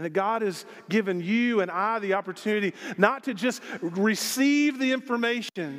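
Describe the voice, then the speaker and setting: In a Southern US accent, a man speaks at a high pitch with ordinary pitch variation. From Arkansas. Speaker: pastor. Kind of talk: sermon. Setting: church. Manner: animated.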